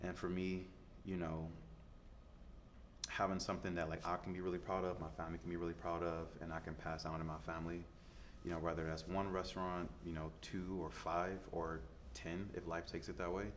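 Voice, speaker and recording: Fairly quick speech from a man with a very deep, low pitch, fairly even intonation, long and frequent pauses, and audible room echo. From US Midwest, Detroit. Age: 30s. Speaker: chef. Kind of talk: interview. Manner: casual, filler-heavy.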